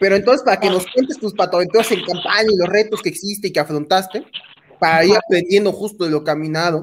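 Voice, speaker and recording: A man talks in a high pitch at a very fast pace. His pitch varies in an ordinary way. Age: 20s. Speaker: podcast host. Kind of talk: interview conversation.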